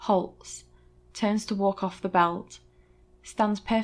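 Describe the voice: Someone reads aloud plainly, and the intonation holds fairly level.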